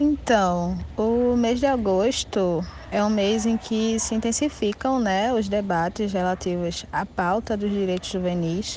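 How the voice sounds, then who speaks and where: Speaking at a very slow pace with hardly any pauses, a woman keeps a medium pitch and ordinary pitch variation. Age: 20s. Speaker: activist and researcher. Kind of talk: interview. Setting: video call.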